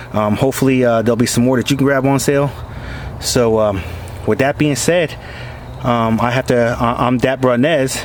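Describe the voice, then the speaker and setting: Over noticeable background noise, a man speaks at a moderate pace and a medium pitch, with long, frequent pauses, fairly even intonation and very even loudness. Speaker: product reviewer vlogger. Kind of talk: product review. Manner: hesitant, many fillers.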